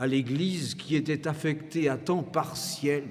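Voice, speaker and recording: A man with a fairly high pitch talks at a very slow pace, somewhat breathy and with fairly even intonation. Audible room echo fills the recording. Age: 80s+. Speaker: organist and retired professor. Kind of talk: concert introduction speech. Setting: church with audience. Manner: formal.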